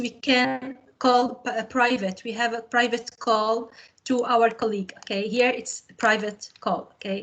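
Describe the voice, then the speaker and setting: Speaking at a fairly slow pace, a woman with a high pitch uses a monotone, flat intonation. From Tunisia. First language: Arabic. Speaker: computer science teacher and trainer. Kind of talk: webinar tutorial. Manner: halting, with many fillers.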